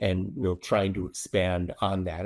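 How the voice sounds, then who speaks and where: A man with a very deep, low voice talks at a moderate pace in a very clean recording with a silent background. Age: 60s. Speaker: public adjuster. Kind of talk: interview. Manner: frequent fillers, uh and um.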